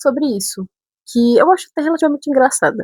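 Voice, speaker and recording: A woman with a northern Brazilian accent is heard in a dry, close sound with no echo. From Brazil, São Paulo city. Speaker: vlogger. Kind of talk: casual storytelling vlog.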